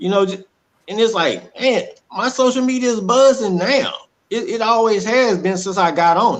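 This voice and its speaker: A man with a Southern US accent, high in pitch, at a moderate pace, with ordinary pitch variation and big swings in loudness. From Texas (Dallas). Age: 40s. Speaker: domestic violence survivor. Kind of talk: testimony. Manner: animated.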